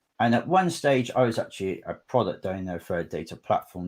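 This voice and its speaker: On a very clean recording with a silent background, a man with a West Country accent speaks at a fairly quick pace with lively intonation. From southwest England. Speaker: conference speaker, data architect. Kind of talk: technical presentation.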